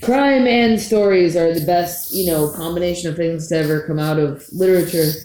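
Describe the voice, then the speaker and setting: A woman speaks with an American accent at a moderate pace, her pitch fairly low with ordinary variation. It is a normal speaking voice, with hardly any pauses. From Florida, St. Petersburg. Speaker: punk rock musician. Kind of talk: casual chat. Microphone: poor recording quality.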